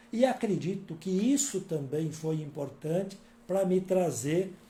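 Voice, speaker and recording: In a room with audible echo, a man talks at a fairly slow pace, his high voice dark and mellow with ordinary pitch variation. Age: 60s. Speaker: author and workshop speaker. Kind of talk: workshop talk. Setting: live-streamed workshop with videomaker in next room. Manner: calm, conversational.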